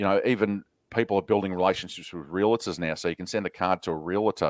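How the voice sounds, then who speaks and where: Speaking very fast with an Australian accent, a man's very deep, low voice keeps a fairly even intonation in a dry, close, echo-free recording that is very clean with a silent background. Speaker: podcast host. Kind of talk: casual interview chat.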